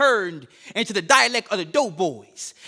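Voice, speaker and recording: A man speaks fairly quickly in a raised, projected voice with a bright, sharp tone and lively intonation. The recording is very clean, with a silent background. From Chicago South Side. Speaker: spoken word poet. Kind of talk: spoken word performance. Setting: stage with audience. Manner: rhythmic, emphatic.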